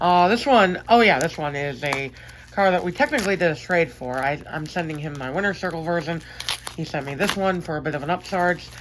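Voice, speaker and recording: Over noticeable background noise, a woman talks at a fairly quick pace in a fairly low voice with ordinary pitch variation. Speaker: diecast collector YouTuber. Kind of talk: unboxing video. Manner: fast.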